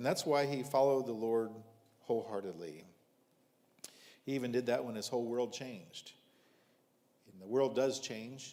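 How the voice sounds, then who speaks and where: Speaking with an American accent at a moderate pace, a man with a dark, mellow tone and medium pitch shows ordinary pitch variation, big swings in loudness, and long, frequent pauses amid audible room echo. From US Midwest, rural southern Ohio. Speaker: visiting preacher. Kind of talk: sermon.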